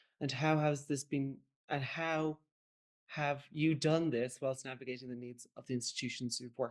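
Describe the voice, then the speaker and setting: Very deep and low in pitch, a woman speaks with an Irish accent at a moderate pace. Her intonation is fairly even, and the background is quiet. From Ireland. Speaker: curator. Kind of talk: panel presentation. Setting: online panel.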